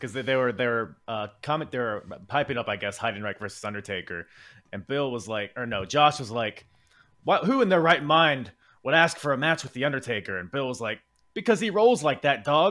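A man's plain, everyday voice at medium pitch with an American accent, lively intonation, big swings in loudness, and a fairly quick pace. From United States. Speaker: wrestling podcast host. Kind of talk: casual chat.

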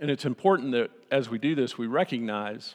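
A man talks with a Texan accent at a moderate pace. The background is quiet. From Texas, Austin. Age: old. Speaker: pastor. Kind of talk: sermon. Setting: church.

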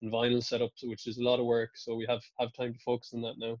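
Speaking very fast in a Kerry accent, a man keeps a monotone, flat intonation in a dry, close sound with no echo. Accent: Irish (Kerry). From Ireland, County Kerry. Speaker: musician. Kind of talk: casual interview.

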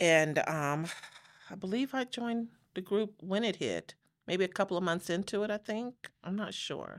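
Speaking with an American accent, a woman talks at a moderate pace in a medium pitch with ordinary pitch variation. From Los Angeles, after early childhood in Chicago. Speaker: church member sharing faith story. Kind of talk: testimony. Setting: studio.

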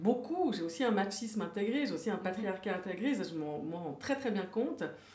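Speech with lively intonation moves at a moderate pace, with audible room echo and noticeable background noise. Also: woman. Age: 50s. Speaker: author. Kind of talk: interview.

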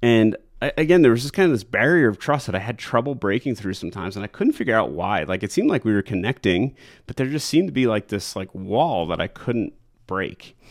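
A man with an American accent talks at a very fast pace and medium pitch, with very wide pitch swings. The recording is very clean and the background silent. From New York. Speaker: real estate agent and podcast host. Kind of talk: casual solo talk. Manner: relaxed, many fillers.

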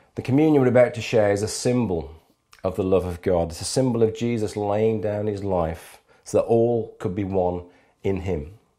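Audible room echo surrounds a man with a fairly low pitch, a dark, mellow tone and ordinary pitch variation. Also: moderate pace. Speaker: pastor. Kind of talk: sermon. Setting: filming from home.

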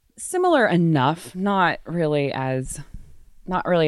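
Heard in a very clean recording with a silent background, a woman with an American accent speaks at a moderate pace with ordinary pitch variation. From Texas (Waco). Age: 30s. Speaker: nonprofit director. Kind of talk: interview.

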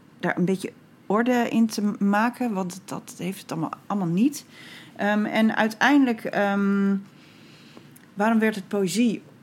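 The voice is somewhat breathy, moving at a fairly slow pace with ordinary pitch variation and long, frequent pauses. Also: woman, medium pitch for a woman. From Groningen province, Netherlands (Bedum). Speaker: poet and writer. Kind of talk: casual interview.

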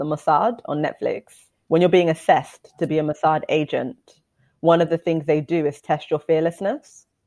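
This woman has an unremarkable speaking voice with a fairly low pitch. She talks at a fairly quick pace. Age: 30s. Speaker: podcast co-host. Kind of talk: casual chat.

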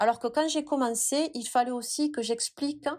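Recorded very cleanly against a silent background, a woman speaks at a moderate pace with fairly even intonation. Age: 30s. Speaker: pole dance studio founder. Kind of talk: interview.

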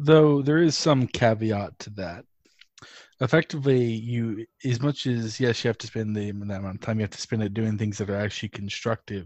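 A man speaks in a normal speaking voice at a medium pitch. His pace is moderate and his pitch varies in an ordinary way. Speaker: podcast co-host. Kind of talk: casual podcast chat.

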